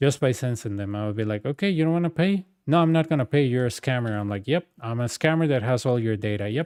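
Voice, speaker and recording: A man with a Costa Rican accent speaks at a very fast pace with lively intonation. The sound is dry and close with no echo, on a very clean recording with a silent background. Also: medium pitch for a man, hardly any pauses. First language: Spanish. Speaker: gaming streamer. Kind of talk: casual chat. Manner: animated.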